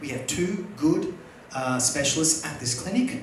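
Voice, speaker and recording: A man with an Australian accent, heard through noticeable background noise and audible room echo. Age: 40s. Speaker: stand-up comedian. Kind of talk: stand-up. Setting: stage with audience.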